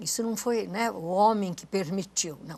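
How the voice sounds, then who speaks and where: The woman's voice sits at a medium pitch. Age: 80s+. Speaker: retired culture official and writer. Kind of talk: TV interview. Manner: halting, many restarts.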